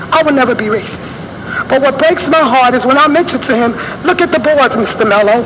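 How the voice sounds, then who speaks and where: Very fast and high-pitched, a woman talks with ordinary pitch variation, with audible room echo and noticeable background noise. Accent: American. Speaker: community activist. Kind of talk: public comment at council meeting. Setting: council meeting at microphone. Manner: animated.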